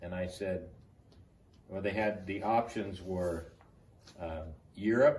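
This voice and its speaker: A man with an American accent speaks at a very slow pace in a very deep, low, somewhat breathy voice with fairly even intonation. He takes long, frequent pauses, and audible room echo surrounds him. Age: 70s. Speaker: army veteran. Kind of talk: oral history interview.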